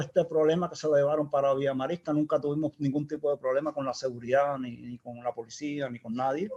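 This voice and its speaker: Noticeable background noise sits behind this man's voice. He talks at a fairly quick pace in a Cuban accent. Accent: Cuban, kept. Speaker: engineer, project founder. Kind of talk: interview conversation. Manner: halting, repeats words.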